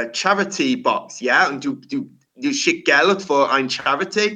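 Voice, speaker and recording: Very slowly, a man speaks with an English accent. His tone is bright and sharp, with lively intonation. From England. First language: English (speaking German). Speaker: rock singer. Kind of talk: casual interview. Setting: remote call at his workplace. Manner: halting.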